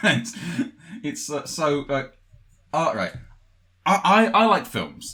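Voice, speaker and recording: A man with a fairly high pitch and a bright, sharp tone speaks very slowly with vocal fry, very wide pitch swings, and long, frequent pauses. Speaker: voice actor and producer. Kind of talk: casual podcast interview talk.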